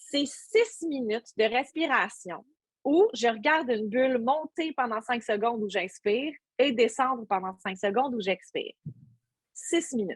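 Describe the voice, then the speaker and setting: A woman speaks at a fairly slow pace in a high pitch with lively intonation. The sound is dry and close, with no echo. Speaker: workshop instructor, stage host. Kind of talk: workshop talk; guided breathing exercise. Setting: video call. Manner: hesitant, many fillers.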